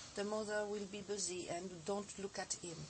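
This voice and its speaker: The speech comes at a very slow pace with noticeable background noise. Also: woman. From France. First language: French (speaking Russian). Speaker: osteopath and teacher. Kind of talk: TV interview. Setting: TV studio.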